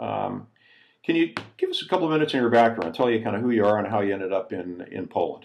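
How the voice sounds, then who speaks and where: Speaking at a very fast pace, a man with a medium-pitched voice uses lively intonation. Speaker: interviewer. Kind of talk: interview question.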